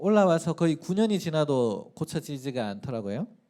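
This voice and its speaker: On a very clean recording with a silent background, a man with a strong Gyeongsang accent speaks at a moderate pace, his fairly high voice dark and mellow in tone, with lively intonation. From South Korea, Daegu (Gyeongsang). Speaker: pastor. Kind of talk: sermon.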